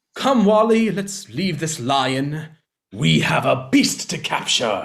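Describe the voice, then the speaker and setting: Putting on a character voice, a man uses a smug, theatrical tone, fairly high pitch and very wide pitch swings at a fairly slow pace. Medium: stage play.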